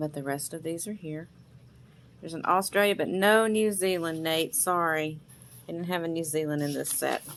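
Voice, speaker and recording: A woman with a Southern US accent speaks at a moderate pace and fairly low pitch with fairly even intonation. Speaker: vintage seller. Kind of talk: sales pitch. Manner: casual, chatty.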